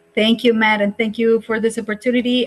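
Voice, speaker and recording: A woman speaks with a Spanish accent at a fairly high pitch. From Colombia. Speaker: drone education business founder. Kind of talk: career talk presentation.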